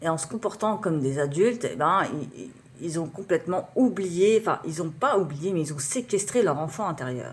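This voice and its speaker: Somewhat breathy delivery with lively intonation. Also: woman, fairly low pitch for a woman, moderate pace. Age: 30s. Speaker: writer and beatmaker, vlogger. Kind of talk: personal vlog monologue. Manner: halting, many fillers.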